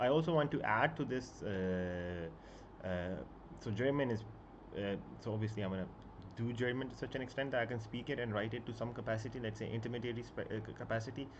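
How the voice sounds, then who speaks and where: With audible room echo, a man talks at a medium pitch and a fairly quick pace, with ordinary pitch variation and long, frequent pauses. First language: Punjabi and Urdu. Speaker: book YouTuber. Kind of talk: casual live stream chat. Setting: live stream at home. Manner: halting, many fillers.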